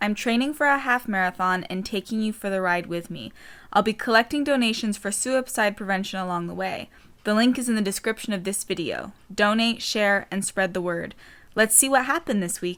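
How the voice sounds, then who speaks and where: Someone talks at a fairly quick pace on a very clean recording with a silent background. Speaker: vlogger. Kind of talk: casual vlog. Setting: outdoors. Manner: whispering.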